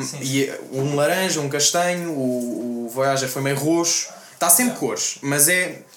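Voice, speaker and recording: A man talks at a fairly slow pace with a fairly high pitch and ordinary pitch variation. Noticeable background noise and audible room echo surround his voice. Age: young. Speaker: rapper. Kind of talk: casual chat.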